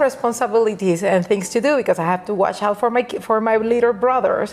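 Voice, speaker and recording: Speaking at a fairly quick pace, a woman with a Puerto Rican accent uses a medium pitch and ordinary pitch variation. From Puerto Rico, Caguas. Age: 40s. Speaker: nail educator. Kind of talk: podcast interview. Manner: halting, many restarts.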